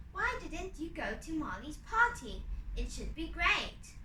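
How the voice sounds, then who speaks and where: Using a put-on character voice, a woman speaks at an extremely high pitch and a fairly slow pace over clear background noise. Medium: read story.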